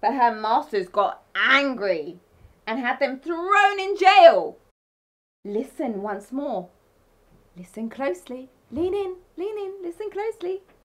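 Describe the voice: A woman speaks slowly in a high pitch. Her tone is fairly bright, and her intonation is lively.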